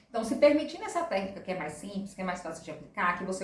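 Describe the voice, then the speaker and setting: Audible room echo surrounds a woman's voice. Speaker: presentation skills instructor. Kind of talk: tutorial. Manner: fast.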